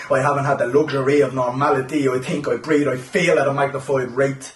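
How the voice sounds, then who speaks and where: Against noticeable background noise, a man with an Irish accent speaks in a flat monotone at a fairly high pitch. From Ireland. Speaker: poet. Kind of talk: spoken word poetry performance.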